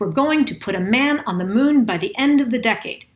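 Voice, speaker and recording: A woman talks at a fairly quick pace in an ordinary speaking voice with ordinary pitch variation. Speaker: executive communication and vocal presence coach. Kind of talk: casual commentary to camera.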